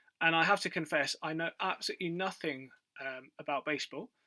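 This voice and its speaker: This man speaks with a British accent at a high pitch. His intonation stays fairly even, and the sound is dry and close with no echo. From UK. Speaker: quiz video creator. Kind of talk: casual quiz commentary. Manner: hesitant, many fillers.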